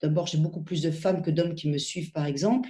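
A woman speaks with a fairly low pitch and a dark, mellow tone. Her voice is somewhat breathy, with ordinary pitch variation. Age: 50s. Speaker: cardiology professor. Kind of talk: interview.

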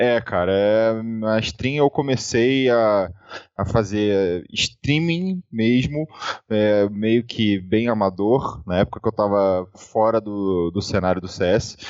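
Very slow in pace, a man talks at a fairly low pitch. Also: ordinary pitch variation. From Rio de Janeiro, Brazil. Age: 30s. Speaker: esports player turned streamer. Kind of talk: casual interview chat.

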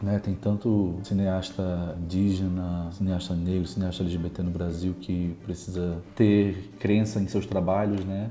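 A man with a very deep, low pitch speaks fairly slowly in a monotone, flat way. He hardly pauses at all. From Brazil, Natal, Rio Grande do Norte. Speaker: artist and performer. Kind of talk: interview.

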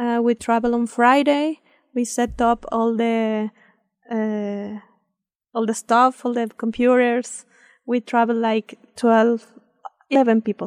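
A woman's very slow, fairly high voice in a Spanish accent, monotone and flat, with long, frequent pauses and a dry, close sound with no echo. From Mexico City. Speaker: consulate official. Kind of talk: interview. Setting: studio. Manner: halting.

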